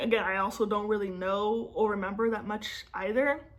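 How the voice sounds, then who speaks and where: Fairly high female voice at a moderate pace, with audible room echo. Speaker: personal finance vlogger. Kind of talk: casual vlog talk to camera. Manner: slurs and stumbles over words.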